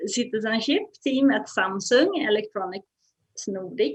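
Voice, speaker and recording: Her voice fairly high-pitched, a woman speaks at a fairly slow pace. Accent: Swedish. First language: Swedish. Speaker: moderator, non-profit general secretary. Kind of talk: panel discussion. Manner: halting.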